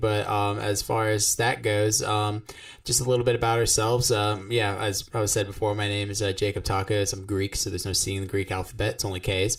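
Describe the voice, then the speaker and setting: A man with an American accent has a somewhat breathy voice. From South Florida. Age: 20s. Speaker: podcast co-host, guitarist. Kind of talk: casual chat. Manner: halting, many fillers.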